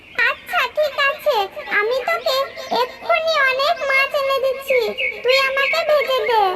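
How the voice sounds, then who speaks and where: A cartoonish character voice, female-sounding and extremely high, at a fairly slow pace. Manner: greedy, coaxing turning menacing.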